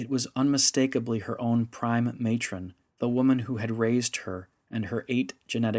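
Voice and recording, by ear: The background is quiet. Someone reads aloud in a natural voice.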